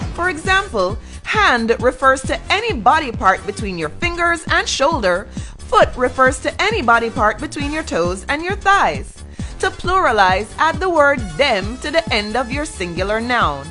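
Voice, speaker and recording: With music in the background, a woman speaks at a moderate pace in a raised, projected, high voice with very wide pitch swings. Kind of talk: informal explainer narration.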